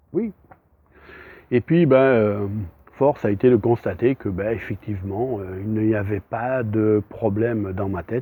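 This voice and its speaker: With a fairly low pitch and ordinary pitch variation, a man talks very slowly. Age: 60s. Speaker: psychic medium. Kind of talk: self-introduction monologue. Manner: hesitant, many fillers.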